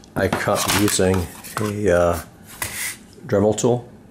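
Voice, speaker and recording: A man speaks at a fairly slow pace. There is noticeable background noise. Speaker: DIY hobbyist. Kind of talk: casual DIY tutorial talk. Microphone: phone near.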